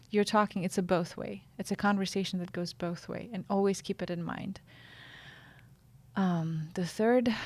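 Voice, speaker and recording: Speaking in a Russian accent, a woman uses medium pitch, fairly even intonation and a moderate pace, with long, frequent pauses and a somewhat breathy sound. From Russia, Siberia. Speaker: journalist and podcast consultant. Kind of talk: interview, advice.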